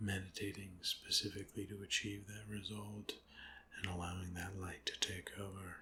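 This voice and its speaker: A soft-spoken voice with a calm tone moves at a moderate pace against noticeable background noise. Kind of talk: ASMR guided meditation. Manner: soft-spoken, calm.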